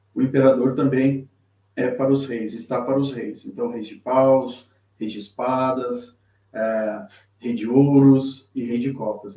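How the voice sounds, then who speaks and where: A man speaks at a very slow pace. His voice sits at a medium pitch with a dark, mellow tone. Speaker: tarot teacher and reader. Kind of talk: live-streamed tutorial. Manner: halting, many fillers and repetitions.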